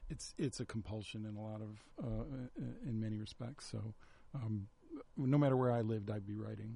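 A man's fairly low, dark and mellow voice with an American accent, somewhat breathy, at a moderate pace with fairly even intonation and long, frequent pauses. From Chicago, South Side. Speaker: screenwriter. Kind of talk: casual chat. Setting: radio studio.

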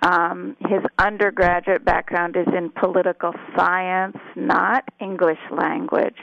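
A woman with an American accent at a medium pitch, ordinary pitch variation, a very slow pace and hardly any pauses, in a dry, close sound with no echo. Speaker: journalism professor. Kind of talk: interview. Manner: halting.

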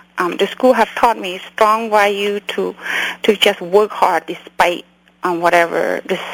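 A woman with a Cambodian accent at a moderate pace and ordinary pitch variation, over noticeable background noise. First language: Khmer. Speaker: memoir author, doctor, refugee. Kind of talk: interview, personal storytelling.

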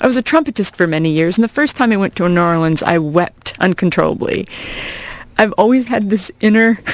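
This woman has an unremarkable speaking voice with a medium pitch and an American accent. She talks at a fairly quick pace with lively intonation. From US Midwest, small-town Iowa. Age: 40s. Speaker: comedian and college teacher. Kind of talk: casual chat. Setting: radio studio.

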